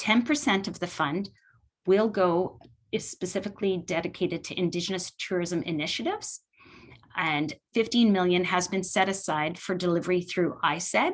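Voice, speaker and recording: Put on as a character voice, the hoarse delivery moves at a fairly quick pace with ordinary pitch variation. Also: woman, medium pitch for a woman. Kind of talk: formal policy announcement.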